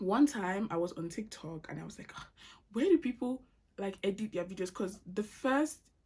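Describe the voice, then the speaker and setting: A woman speaks at a medium pitch, somewhat breathy. Her tone is dark and mellow, and her intonation lively. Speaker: YouTube vlogger. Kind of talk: casual chat Q&A while doing makeup. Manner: casual, with fillers and restarts.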